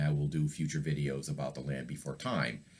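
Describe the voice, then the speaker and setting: A man speaks in a relaxed tone. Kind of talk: casual talk to camera. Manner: relaxed, conversational.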